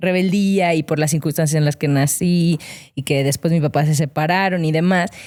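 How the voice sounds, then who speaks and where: Moderate-paced speech on a very clean recording with a silent background. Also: woman. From Mexico, León, Guanajuato. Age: 30s. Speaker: former athlete and digital strategist. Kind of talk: interview conversation. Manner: hesitant, many fillers.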